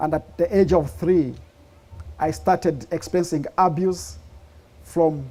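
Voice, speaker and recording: A man with a Ugandan accent speaks at a fairly slow pace, his fairly high pitch held in fairly even intonation. The recording is very clean, with a silent background. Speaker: speaker sharing life story. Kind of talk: testimony.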